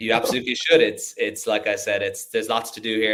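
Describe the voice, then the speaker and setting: A man with an Irish accent at a very fast pace. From Ireland. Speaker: tech startup founder. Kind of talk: casual chat.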